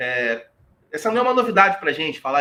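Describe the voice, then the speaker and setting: Raising and projecting his voice, a man speaks at a high pitch in a bright, sharp tone, his pitch swinging very widely. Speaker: history professor. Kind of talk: lecture. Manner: halting.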